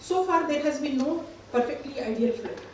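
There is audible room echo and light background noise as a woman speaks with lively intonation. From India. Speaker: gynecologist. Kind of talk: conference presentation. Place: hall. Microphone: camera far.

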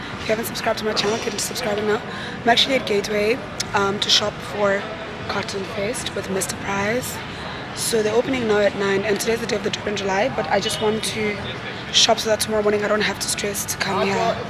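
A woman at a very fast pace over loud background noise. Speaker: vlogger. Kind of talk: casual vlog chat. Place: street. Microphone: phone near.

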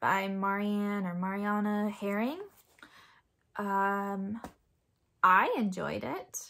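A bright, sharp tone with fairly even intonation and long, frequent pauses, against a quiet background. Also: woman. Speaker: book vlogger and mother. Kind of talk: casual monologue book review. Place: home room. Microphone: phone near.

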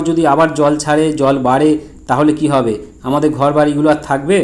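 The speaker is a man. He has an ordinary speaking voice. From West Bengal, Hooghly district. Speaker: vlogger. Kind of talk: on-location video commentary. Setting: outdoors.

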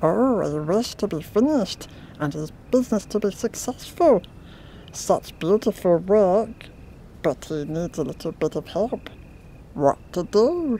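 A put-on character voice at a middle pitch and fairly slow pace, broken by long, frequent pauses, with clear background noise

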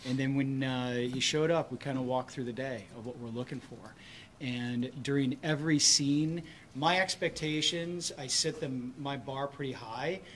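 Over light background noise, a man talks at a moderate pace. His intonation is fairly even, but his loudness swings widely. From Michigan. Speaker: film director; film director on panel. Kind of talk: press conference. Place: hall. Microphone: podium.

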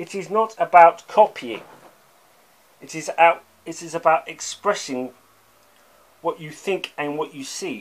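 At a fairly slow pace with long, frequent pauses, a man with a high pitch shows big swings in loudness and ordinary pitch variation. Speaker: art commentator. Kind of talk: angry rant; video essay lecture. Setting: online video. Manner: emphatic, insistent, scornful; repeats words, halting. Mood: critical, passionate. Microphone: phone near.

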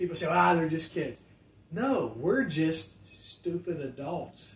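An American-accented man with a high voice talks at a very slow pace, with audible room echo around him. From US Midwest, Ohio Valley. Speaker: pastor; pastor, podcast co-host. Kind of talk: casual chat. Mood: warm, animated. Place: studio.

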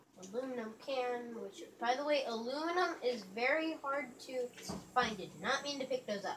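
Noticeable background noise sits behind this woman's high-pitched voice. She speaks at a fairly slow pace with ordinary pitch variation. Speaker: gamer filming own play. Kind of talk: gameplay commentary. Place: home room. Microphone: phone near.

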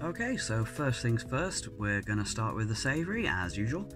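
Fairly slow speech from a man, clear music playing behind it. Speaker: snack tasting vlogger. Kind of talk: casual vlog chat. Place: home room.

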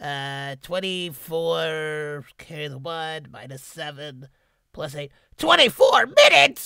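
Putting on a raspy character voice, a man speaks fairly slowly at a fairly high pitch, with fairly even intonation and big swings in loudness. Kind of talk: character voice demo. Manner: fast, anxious.

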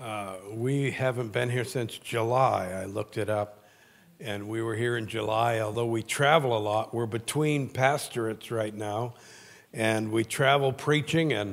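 The pace is fairly slow. A man keeps his intonation fairly even. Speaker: guest preacher. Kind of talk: sermon. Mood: warm, humorous. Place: church. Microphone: handheld.

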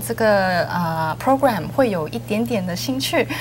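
A woman at a fairly slow pace, her pitch swinging very widely, with light background noise. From Canada, Hong Kong/Singapore family. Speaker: business school program director. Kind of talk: studio interview. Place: studio.

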